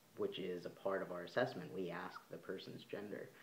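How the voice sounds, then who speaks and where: A man's very deep, low-pitched voice carries audible room echo. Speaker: vlogger. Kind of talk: casual vlog monologue. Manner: halting, many fillers.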